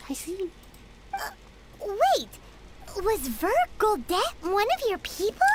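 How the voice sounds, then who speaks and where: An extremely high, bubbly put-on character voice moves at a fairly slow pace with long, frequent pauses. Clear background noise can be heard. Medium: video game. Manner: bubbly, excitable.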